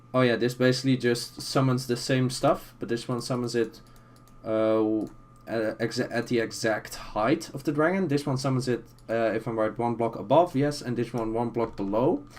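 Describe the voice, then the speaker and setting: The speaker has a non-native accent and talks at a moderate pace. The intonation is fairly even. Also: man, medium pitch for a man. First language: not English. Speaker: Minecraft tutorial youtuber. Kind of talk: tutorial. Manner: hesitant, many fillers and restarts.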